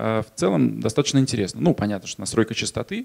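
The speaker is a man. The background is quiet. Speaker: magazine publishing executive; conference presenter. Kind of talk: conference talk. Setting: stage with audience. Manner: energetic, joking. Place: hall. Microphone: handheld.

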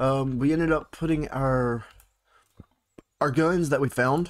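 A man with a Texan accent, medium pitch, ordinary pitch variation and a moderate pace. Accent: Southeast Texas country. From Southeast Texas. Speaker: gaming YouTuber. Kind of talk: casual gameplay commentary.

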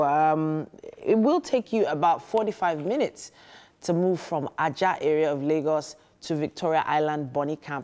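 With a Nigerian accent, a woman speaks at a moderate pace in a very deep, low pitch, her intonation lively. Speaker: TV morning show host. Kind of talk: casual chat. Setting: studio. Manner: animated. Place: studio. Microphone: lapel.

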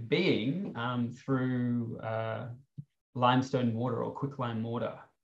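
A man with an Australian accent, very slow pace, and fairly even intonation over a quiet background. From Sydney, Australia. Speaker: artist and PhD student; panelist. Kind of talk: panel discussion. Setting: video call. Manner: halting, many fillers. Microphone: video call.

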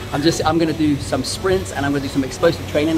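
A man's very fast speech with ordinary pitch variation over noticeable background noise. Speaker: travel vlogger. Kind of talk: casual vlog chat. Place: gym. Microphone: phone near.

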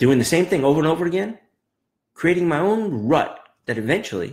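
Against a quiet background, a man speaks in an animated tone with very wide pitch swings. Vocal fry is heard in his voice. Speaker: trading coach. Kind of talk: pep talk. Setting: live video. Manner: motivational, emphatic. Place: office. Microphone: webcam.

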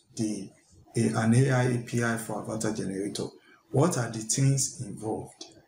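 A man at a fairly slow pace with ordinary pitch variation, amid light background noise and audible room echo. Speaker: tech content creator. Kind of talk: tutorial. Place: home room. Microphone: headset.

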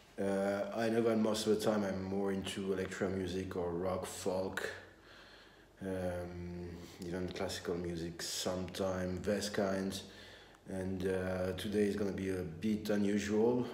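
Audible room echo surrounds a man speaking at a fairly slow pace. His very deep, low voice keeps a monotone, flat intonation. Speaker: musician vlogger. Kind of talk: casual vlog chat. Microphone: phone near.

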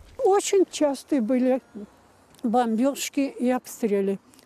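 A woman speaks in a high pitch at a very slow pace. The sound is dry and close, with no echo. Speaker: siege survivor interviewee. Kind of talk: interview recollection.

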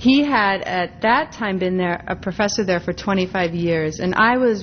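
An unremarkable speaking voice in an American accent at a moderate pace, with light background noise. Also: woman. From US Midwest, Minneapolis, Minnesota. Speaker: art historian and professor; professor. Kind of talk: lecture. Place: hall.

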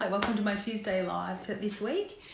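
Over audible room echo, a woman talks at a moderate pace and medium pitch, her intonation fairly even and marked by vocal fry.

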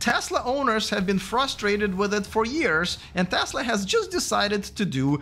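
There is light background noise. A man speaks at a moderate pace with lively intonation. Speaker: EV channel host. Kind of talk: commentary. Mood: critical, sarcastic. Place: studio. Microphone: studio mic.

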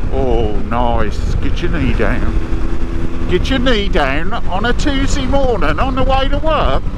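A man speaks at a very slow pace, with a dry sound with no echo, while loud background noise continues. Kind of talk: casual vlog chat. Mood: cheerful, enjoying the ride. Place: motorbike. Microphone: helmet.

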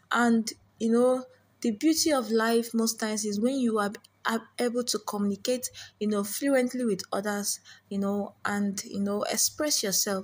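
Somewhat breathy, a woman's voice sits fairly high. She keeps a moderate pace. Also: fairly even intonation. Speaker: stammering coach. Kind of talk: casual talk to camera. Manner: some repetitions and hesitations.

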